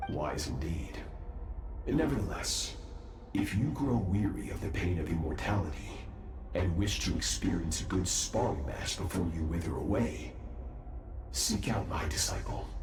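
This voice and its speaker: A man's put-on character voice, very deep and low, at a moderate pace amid loud background noise. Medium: machinima. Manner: calm, measured, self-assured.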